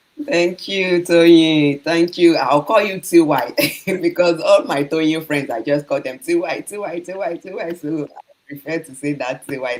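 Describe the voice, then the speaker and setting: Noticeable background noise runs through the clip. The talking proceeds fairly slowly. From Nigeria. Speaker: online entrepreneur. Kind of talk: panel podcast chat.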